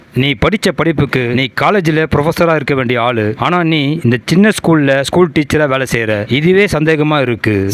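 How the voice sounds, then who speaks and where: A man talks at a very even loudness, his pitch varying an ordinary amount. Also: fairly high pitch for a man. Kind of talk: movie recap narration. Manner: dramatic, suspenseful.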